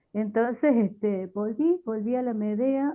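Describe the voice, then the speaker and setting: A woman talks in a fairly high voice with lively intonation. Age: 60s. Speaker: theatre researcher and language teacher. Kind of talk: panel discussion. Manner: hesitant, many fillers.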